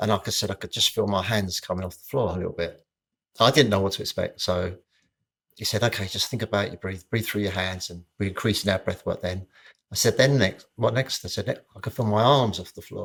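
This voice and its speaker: A man with a British accent speaks at a fairly quick pace and fairly low pitch in a very clean recording with a silent background. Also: fairly even intonation. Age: 60s. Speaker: personal trainer. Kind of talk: casual chat.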